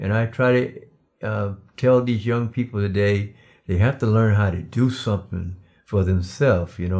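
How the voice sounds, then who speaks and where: Speaking at a fairly quick pace, a man with a fairly low pitch shows ordinary pitch variation. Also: very clean recording, silent background. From US South, Darlington, South Carolina. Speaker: preacher and father of host. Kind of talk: casual interview.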